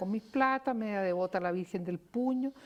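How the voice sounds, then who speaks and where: Against a quiet background, a woman with a Chilean accent speaks at a medium pitch with lively intonation. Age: 70s. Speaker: psychiatrist. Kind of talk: TV panel debate. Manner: animated.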